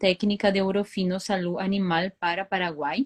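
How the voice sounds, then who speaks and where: Dry and close with no echo, a woman with a Brazilian accent speaks at a medium pitch with fairly even intonation. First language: Portuguese (speaking Spanish). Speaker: veterinarian and dairy consultant. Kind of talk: webinar talk. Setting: online live stream. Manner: hesitant with frequent fillers.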